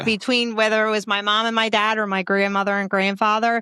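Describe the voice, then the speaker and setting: A woman speaks in a Philadelphia accent with a bright, sharp tone and medium pitch. The sound is dry and close with no echo, on a very clean recording with a silent background. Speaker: comedian and podcaster. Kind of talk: interview answer. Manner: casual, friendly.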